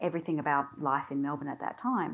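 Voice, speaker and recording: A woman speaks against a quiet background. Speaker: university executive; panel member. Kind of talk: panel discussion. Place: hall. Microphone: lapel.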